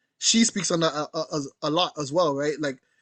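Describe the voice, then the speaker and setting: A man with a Jamaican accent and fairly high pitch, at a fairly slow pace, in a dry, close sound with no echo against a quiet background. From Canada, Jamaican heritage. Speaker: curator and artist. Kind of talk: panel conversation. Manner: casual, conversational.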